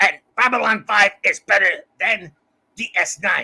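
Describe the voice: The pitch here rides fairly high. It is a put-on character voice. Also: moderate pace.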